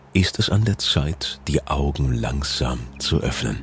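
A calm, soothing tone with lively intonation at a very slow pace, music playing in the background. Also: man. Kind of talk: guided meditation. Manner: slow, calm, soothing, with long pauses; gentle, soft-spoken, measured.

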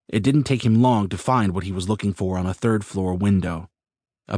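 A man delivers a dramatic reading at a fairly quick pace and fairly low pitch with ordinary pitch variation, the sound dry and close with no echo against a quiet background. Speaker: audiobook narrator. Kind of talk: scripted narration, action-fantasy audiobook reading. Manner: dramatic, brisk and urgent, building tension in the action scenes.

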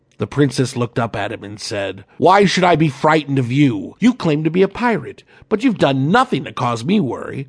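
In a dramatic, animated tone, a man with a fairly high, somewhat breathy voice talks at a fairly quick pace with hardly any pauses, very wide pitch swings, and big swings in loudness against a quiet background. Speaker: audiobook narrator. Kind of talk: dramatic audiobook narration of a children's story, with character voices. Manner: animated, theatrical, switching between gruff pirate and defiant princess voices; expressive, storytelling pacing with dramatic pauses and suspense.

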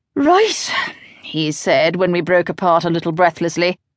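With a British accent and a medium pitch, a woman speaks in a dramatic tone with very wide pitch swings, the sound dry and close with no echo. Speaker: audiobook narrator. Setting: studio.

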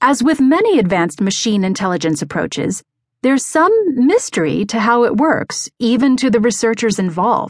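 A woman's fairly high voice with vocal fry, very wide pitch swings and a moderate pace. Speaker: audiobook narrator. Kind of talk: audiobook narration of a magazine article. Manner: steady, even, measured pace; formal, neutral and informative.

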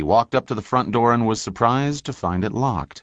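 A man talks at a fairly quick pace in an ordinary speaking voice with ordinary pitch variation. The sound is dry and close with no echo, over a quiet background. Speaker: audiobook narrator. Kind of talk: audiobook narration of true crime, read aloud from a book. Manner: even, solemn and formal, with a crisp journalistic tone.

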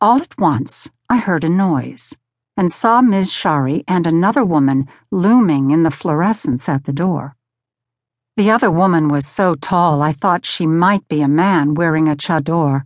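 Against a quiet background, a woman with an ordinary speaking voice talks at a fairly slow pace and a fairly low pitch, using lively intonation. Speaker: audiobook narrator. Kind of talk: audiobook reading of a first-person essay, with character voices for quoted dialogue. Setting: studio. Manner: measured, steady storytelling pace; expressive, shifting tone for dialogue, sternness and fear.

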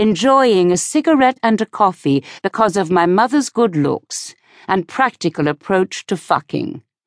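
A woman speaks at a fairly slow pace with a medium pitch. Her pitch swings are very wide, over a quiet background. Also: dry, close sound with no echo. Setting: studio.

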